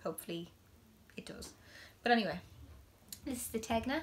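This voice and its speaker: This is a woman speaking. She has an Irish accent. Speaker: knitting podcaster. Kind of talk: casual chat. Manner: loud.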